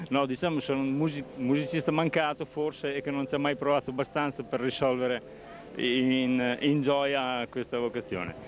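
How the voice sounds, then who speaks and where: Amid noticeable background noise, a man speaks at a moderate pace with fairly even intonation and a dry sound with no echo. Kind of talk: interview answer. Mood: modest, slightly shy. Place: market. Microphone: handheld.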